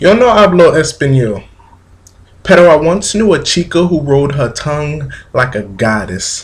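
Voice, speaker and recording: The man's voice is somewhat breathy and his pitch swings very widely. He keeps a moderate pace. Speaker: spoken word poet. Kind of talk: poetry reading. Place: home room. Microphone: webcam.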